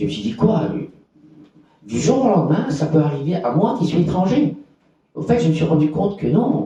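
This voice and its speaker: Pitched fairly high, a man speaks at a moderate pace with very wide swings in pitch. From Belgium, Borinage (Hainaut). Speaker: activist for homeless people's rights. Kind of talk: conference testimony. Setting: conference with audience. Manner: halting, many repetitions.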